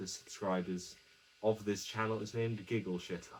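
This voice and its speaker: A soft-spoken man at a fairly low pitch, moderate pace and fairly even intonation. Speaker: YouTuber. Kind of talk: casual vlog monologue. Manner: quiet, speaking softly; halting, self-correcting.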